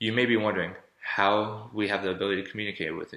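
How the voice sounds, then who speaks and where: A man's fairly low voice, very fast and monotone with flat intonation, bright, sharp tone and audible room echo. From Florida. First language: German. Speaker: college student. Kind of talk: persuasive speech.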